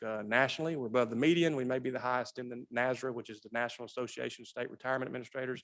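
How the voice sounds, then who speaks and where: Talking at a very fast pace, a man with a medium pitch uses a Southern US accent. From US South. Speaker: state pension system director. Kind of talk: legislative committee testimony. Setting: legislative hearing room.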